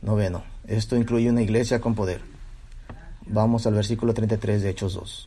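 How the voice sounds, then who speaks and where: A man's fairly low, dark, mellow voice, somewhat breathy and monotone, at a moderate pace with long, frequent pauses. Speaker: preacher. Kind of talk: sermon. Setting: church. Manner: expository, teaching verse by verse; emphatic, repeating key phrases.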